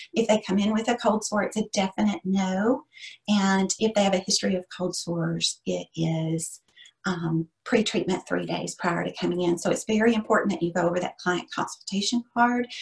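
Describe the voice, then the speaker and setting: Her medium-pitched voice shows vocal fry and ordinary pitch variation. The woman speaks at a moderate pace. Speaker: esthetician and instructor. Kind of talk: webinar teaching.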